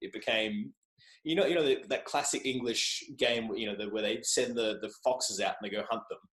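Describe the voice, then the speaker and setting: This man talks fairly quickly. He has an Australian accent. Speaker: journalist and podcaster. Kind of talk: casual chat. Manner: animated.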